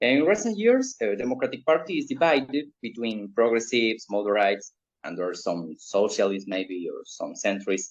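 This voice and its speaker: With a Spanish accent, a man talks at a moderate pace with hardly any pauses and big swings in loudness. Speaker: political show host, interviewer. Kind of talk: interview. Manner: hesitant, many fillers.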